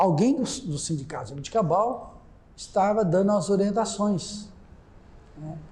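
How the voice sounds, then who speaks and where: The intonation is lively, with long, frequent pauses. Audible room echo surrounds the voice. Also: man, high pitch for a man. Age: 70s. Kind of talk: oral history testimony. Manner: halting, with frequent repetitions.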